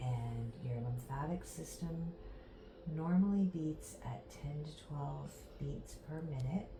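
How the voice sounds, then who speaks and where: A soft-spoken woman with a calm tone at a very slow pace, amid audible room echo and noticeable background noise. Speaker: massage therapy instructor. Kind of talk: tutorial demonstration. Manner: slow, calm.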